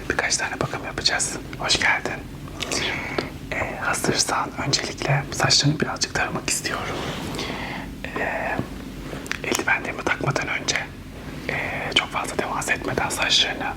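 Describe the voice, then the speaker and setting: At a moderate pace and with long, frequent pauses, the speaker whispers while noticeable background noise carries on behind. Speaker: ASMR hairdresser role-play host. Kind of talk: ASMR role-play barber tutorial talk. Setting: binaural ASMR recording, headphones. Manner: whispered, soft.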